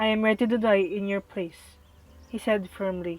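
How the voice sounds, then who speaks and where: Fairly even intonation from a woman at a fairly high pitch, moderate pace. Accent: non-native. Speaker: student. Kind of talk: read story. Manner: some words mispronounced.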